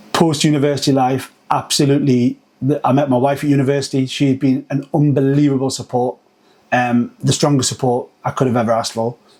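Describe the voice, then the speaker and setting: A man with a Geordie accent talks at a fairly quick pace and a fairly high pitch. His intonation is monotone and flat, his loudness very even. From northern England, Newcastle. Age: 40s. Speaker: agency founder. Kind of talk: podcast interview.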